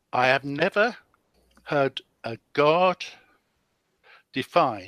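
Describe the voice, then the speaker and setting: A man speaks with a British accent and a bright, sharp tone, using ordinary pitch variation. The recording is very clean and dry, close with no echo and a silent background. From UK. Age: 70s. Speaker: retired pensioner, debate participant. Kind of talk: debate. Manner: hesitant, many uhs.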